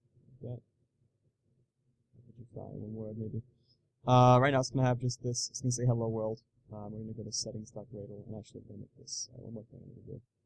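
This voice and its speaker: Delivered at a very fast pace yet with long, frequent pauses, the somewhat breathy voice keeps a monotone, flat intonation while swinging widely in loudness. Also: man, medium pitch for a man. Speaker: programming tutorial youtuber. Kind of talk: live coding tutorial. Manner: fast, thinking aloud with many fillers.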